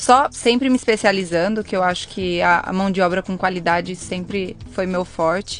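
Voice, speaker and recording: With hardly any pauses, a woman speaks at a moderate pace in an ordinary speaking voice, medium in pitch with ordinary pitch variation. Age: 20s. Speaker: hairdresser, salon owner. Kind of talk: casual interview conversation.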